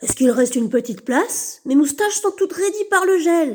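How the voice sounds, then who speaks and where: A put-on character voice, high-pitched, at a fairly quick pace. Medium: read story.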